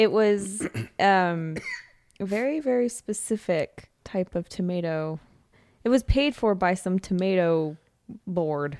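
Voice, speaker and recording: With an American accent, the speaker goes at a very slow pace, broken by long, frequent pauses. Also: woman, medium pitch for a woman, lively intonation. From California. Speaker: podcast guest. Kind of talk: casual chat.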